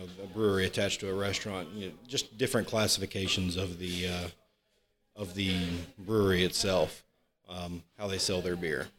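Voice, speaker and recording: Over a silent background in a very clean recording, a man with a very deep, low pitch speaks at a fairly quick pace, with big swings in loudness and long, frequent pauses. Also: fairly even intonation. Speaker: brewpub general manager. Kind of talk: casual interview chat.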